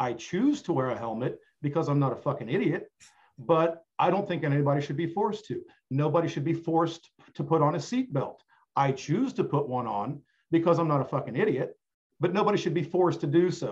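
With an ordinary speaking voice, a man speaks at a fairly quick pace, his fairly high pitch moving in lively intonation. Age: 50s. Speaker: podcast guest. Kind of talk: casual chat.

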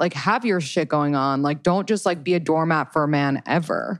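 Speaking at a fairly quick pace, a woman with a plain, everyday voice and fairly low pitch uses lively intonation. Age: 30s. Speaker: dating podcaster and coach. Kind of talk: casual chat.

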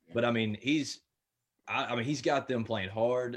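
A man talks at a fairly quick pace in a Memphis accent. His pitch varies in an ordinary way. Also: quiet background. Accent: US Southern (Memphis). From Memphis, Tennessee. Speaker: podcaster. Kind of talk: casual chat.

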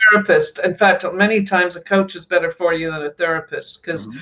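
A woman's medium-pitched voice at a very fast pace, with noticeable background noise. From Scotland. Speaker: author and coach. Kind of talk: interview. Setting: live stream.

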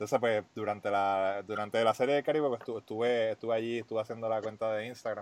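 A man talks at a very fast pace with hardly any pauses and fairly even intonation, in a dry, close recording with no echo. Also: medium pitch for a man. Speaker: podcast host. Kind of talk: scripted intro; casual interview chat.

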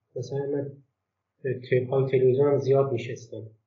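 A man's fairly high-pitched voice at a moderate pace, with audible room echo. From Golestan province, Iran (Turkmen Sahra area). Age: 30s. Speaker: book translator. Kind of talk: casual interview.

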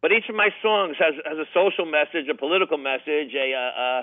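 Using a normal speaking voice, a man talks at a fairly quick pace with a fairly high pitch and ordinary pitch variation. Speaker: singer and former banker. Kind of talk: interview. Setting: phone call.

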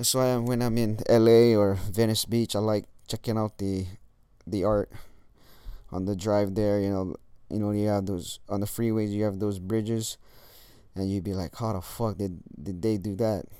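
A man with a dark, mellow tone and a fairly low pitch speaks with fairly even intonation, leaving long, frequent pauses. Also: moderate pace. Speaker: podcast host. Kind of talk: casual monologue. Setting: lying in bed. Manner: halting.

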